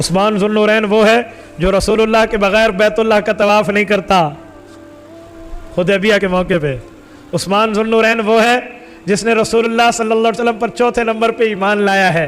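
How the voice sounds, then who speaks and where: Music plays in the background as a man speaks in a high pitch. His loudness stays very even, and his intonation is fairly even. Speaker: Islamic scholar giving a sermon. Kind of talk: emotional religious sermon (bayan) narrating a historical story.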